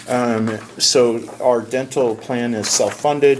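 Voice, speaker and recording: A man speaks in a medium pitch that varies in a normal way, with noticeable noise underneath. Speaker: insurance benefits consultant. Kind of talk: business presentation.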